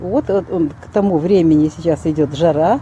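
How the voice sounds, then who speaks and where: The delivery is fairly slow with ordinary pitch variation. The sound is dry with no echo, over light background noise. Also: woman. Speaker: garden channel host. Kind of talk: tutorial. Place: garden. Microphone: phone near.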